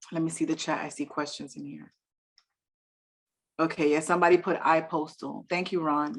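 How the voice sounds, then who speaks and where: With a New York accent, a woman talks at a fairly low pitch with ordinary pitch variation. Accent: New York Bronx. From New York City, the Bronx; Dominican family. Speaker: real estate investor and business credit speaker. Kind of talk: online presentation to a meetup. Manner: fast.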